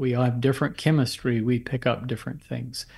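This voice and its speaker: A man talks at a moderate pace in a somewhat breathy voice. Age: 60s. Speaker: physician and herbal medicine author. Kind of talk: interview, explanatory talk.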